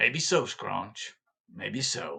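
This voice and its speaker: A man uses a put-on character voice. It comes across raspy. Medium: read story.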